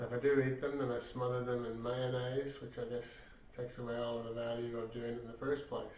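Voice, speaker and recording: A man talks at a fairly quick pace in a monotone, flat delivery. Room echo is audible. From Ireland. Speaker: magazine editor and vlogger. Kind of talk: casual video diary. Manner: hesitant, many fillers.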